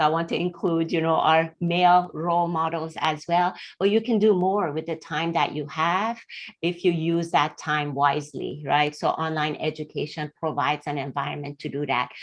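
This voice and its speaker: Against a quiet background, a woman with a Middle Eastern accent speaks in a fairly low voice with fairly even intonation. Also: moderate pace. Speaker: engineer, panelist. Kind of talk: panel discussion.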